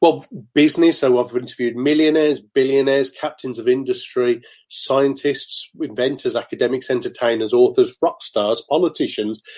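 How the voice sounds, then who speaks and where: Speaking with a Birmingham accent, a man with a fairly high voice keeps a moderate pace and fairly even intonation. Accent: Brummie. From Birmingham, England. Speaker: motivational speaker. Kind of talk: interview.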